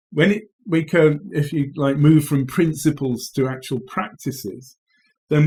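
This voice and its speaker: With an English accent, a man speaks at a moderate pace in a fairly high, somewhat breathy voice with lively intonation. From England. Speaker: agriculture professor. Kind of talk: interview. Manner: halting, many fillers.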